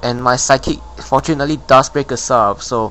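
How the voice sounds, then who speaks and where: There is noticeable background noise. Over it, a man speaks at medium pitch. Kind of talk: game commentary narration. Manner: casual, rambling.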